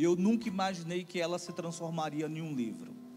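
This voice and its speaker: Music plays in the background as a man with a Fortaleza accent talks amid audible room echo. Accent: Northeastern Brazilian (Fortaleza). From Brazil, Fortaleza (Ceará, Northeast). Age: 40s. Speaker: pastor and family ministry speaker. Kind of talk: sermon. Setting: church conference with audience.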